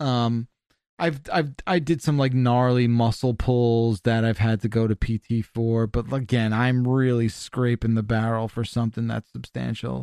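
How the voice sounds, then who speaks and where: The voice has a dark, mellow tone and a moderate pace, heard in a dry, close sound with no echo. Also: man, medium pitch for a man. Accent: American. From New Jersey. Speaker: video game media personality. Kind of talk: casual interview. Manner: animated.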